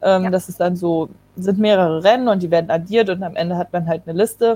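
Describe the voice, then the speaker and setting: Using a normal speaking voice, a woman talks at a fairly quick pace. Her pitch is medium, with ordinary pitch variation. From Germany, Kassel (northern Hesse). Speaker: Olympic canoe sprinter. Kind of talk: casual interview.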